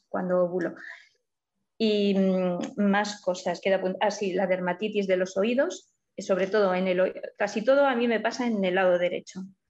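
Her pitch is medium and her pace moderate. This woman's intonation remains fairly even. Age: 50s. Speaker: client in a weight-loss case study. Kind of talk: consultation interview.

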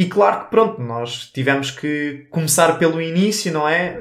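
Fairly high male voice with ordinary pitch variation. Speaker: podcast co-host, physicist. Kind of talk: casual chat.

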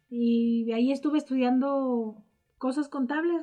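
This woman has a high pitch and fairly even intonation. Music plays in the background. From Mexico, Morelia, Michoacán. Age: 40s. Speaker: university admissions staff and radio project founder. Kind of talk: interview.

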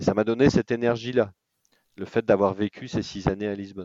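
A man speaks with a fairly low pitch. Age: 40s. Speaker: expatriate entrepreneur. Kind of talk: interview. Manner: halting.

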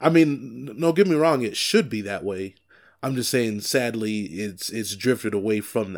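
The man has an ordinary speaking voice at medium pitch with lively intonation. He speaks at a moderate pace in a very clean recording with a silent background. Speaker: podcast co-host, wrestling fan. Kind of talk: casual chat, wrestling podcast banter.

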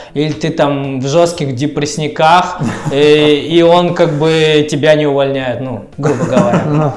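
A man with a fairly high voice speaks very slowly with fairly even intonation, amid audible room echo and noticeable background noise. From Russia, Tyumen (Siberia). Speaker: skateboarder and videographer. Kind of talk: casual chat.

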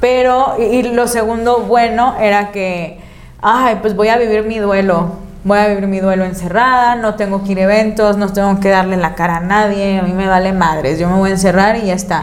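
In a room with audible echo and noticeable background noise, a woman at a medium pitch talks at a moderate pace with fairly even intonation and hardly any pauses. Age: 30s. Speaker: content creator. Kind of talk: casual chat.

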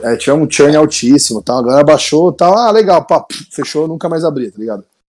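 Lively intonation marks this man's voice, which sits at a fairly high pitch. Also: big swings in loudness. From Brazil, Santo André (São Paulo). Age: 30s. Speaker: startup founder. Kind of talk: interview. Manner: casual, hesitant with fillers.

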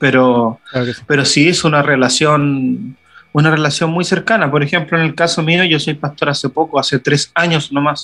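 This man has a bright, sharp tone and a fairly high pitch, talking at a moderate pace with fairly even intonation. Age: 30s. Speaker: pastor. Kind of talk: casual chat.

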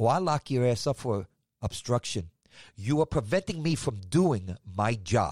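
An animated, somewhat breathy voice speaks at a fairly slow pace with very wide pitch swings and very even loudness. The sound is dry and close with no echo, in a very clean recording with a silent background. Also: man, medium pitch for a man. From New York City (Manhattan, Staten Island). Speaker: podcast host, former police officer. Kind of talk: casual monologue.

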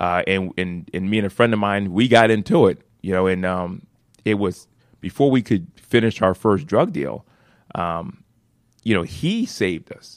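A man with an American accent has an unremarkable speaking voice, a fairly low pitch, ordinary pitch variation and a moderate pace. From Philadelphia. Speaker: nonprofit founder and CEO. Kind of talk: radio interview. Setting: studio.

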